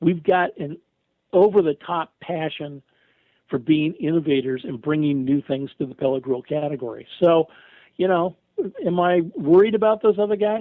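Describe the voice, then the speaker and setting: A man talks at a moderate pace in an unremarkable speaking voice. His pitch sits fairly high, with ordinary variation. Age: 60s. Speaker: retired radio host and grill company representative. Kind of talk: casual interview.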